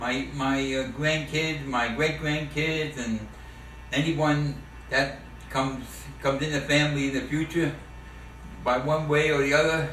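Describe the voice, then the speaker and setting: A man with a New York accent speaks slowly in a fairly high pitch and a monotone, flat intonation, leaving long, frequent pauses amid noticeable background noise and audible room echo. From New York City, the Bronx. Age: 70s. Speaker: war veteran. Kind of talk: family oral history interview. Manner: halting, many repetitions and fillers.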